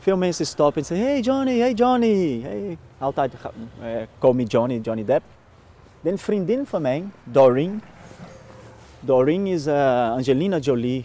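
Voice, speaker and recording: The pitch swings very widely. Noticeable background noise can be heard. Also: man, fairly slow pace. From Brazil, Minas Gerais. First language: Portuguese (speaking Dutch). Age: 30s. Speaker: actor and lookalike performer. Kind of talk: casual interview. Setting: outdoors, walking. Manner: halting.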